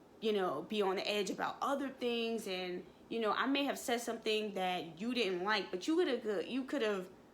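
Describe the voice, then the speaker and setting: Amid audible room echo, a woman with a fairly high pitch speaks in an animated tone at a moderate pace, with lively intonation. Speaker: vlogger, mail carrier. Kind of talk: casual vlog monologue, story time.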